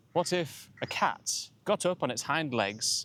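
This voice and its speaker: This man speaks in a Yorkshire accent. His intonation is lively. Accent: Northern English (Yorkshire). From York, England. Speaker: English teacher. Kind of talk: educational talk to camera.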